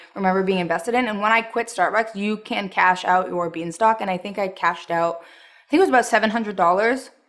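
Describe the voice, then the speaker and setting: Medium-pitched female speech with ordinary pitch variation, set against noticeable background noise. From Montreal, Quebec, Canada. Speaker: anti-MLM vlogger, former barista. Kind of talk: casual vlog commentary. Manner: animated.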